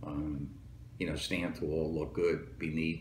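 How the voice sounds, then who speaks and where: A man with a New Jersey accent speaks at a fairly slow pace, his very deep, low pitch showing ordinary variation. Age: 70s. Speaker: Marine Corps veteran and police lieutenant. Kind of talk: interview answer.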